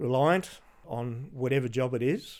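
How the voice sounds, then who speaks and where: A man talks in an Australian accent. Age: 60s. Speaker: retired police detective. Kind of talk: interview. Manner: halting.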